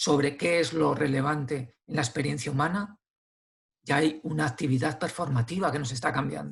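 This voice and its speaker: At a moderate pace, a man with a fairly high pitch and vocal fry speaks with fairly even intonation. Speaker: philosopher and author. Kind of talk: interview conversation. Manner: hesitant with fillers and repetitions.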